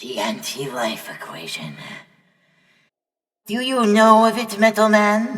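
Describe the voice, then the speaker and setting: A female-sounding, raspy put-on character voice at fairly high pitch moves at a fairly slow pace with long, frequent pauses. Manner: grandiose, zealous.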